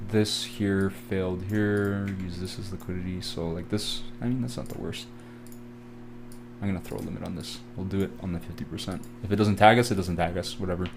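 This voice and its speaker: A man speaks at a fairly quick pace in a fairly low pitch, with ordinary pitch variation and audible room echo. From Canada. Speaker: trading educator. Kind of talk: live trading tutorial. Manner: casual, filler-heavy.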